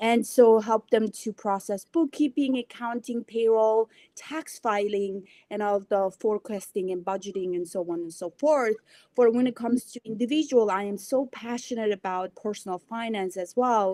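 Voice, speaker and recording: Speaking at a moderate pace with a Mongolian accent, a woman shows a dark, mellow tone, fairly high pitch and ordinary pitch variation in a dry, close sound with no echo. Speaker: financial professional. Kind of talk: podcast interview.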